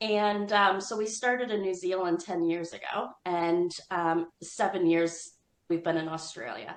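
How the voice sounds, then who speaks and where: A woman with an American accent has an unremarkable speaking voice, a medium pitch, ordinary pitch variation and a fairly slow pace. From United States. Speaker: business owner. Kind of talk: interview.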